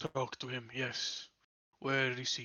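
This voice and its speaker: A man puts on a character voice at a medium pitch, delivered in a monotone with flat intonation. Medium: actual play. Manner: formal, clipped.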